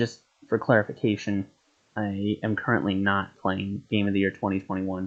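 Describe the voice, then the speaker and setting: A quiet man speaks in a flat monotone at a fairly low pitch. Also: moderate pace. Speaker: gaming streamer. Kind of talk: live game stream chat. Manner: speaking quietly.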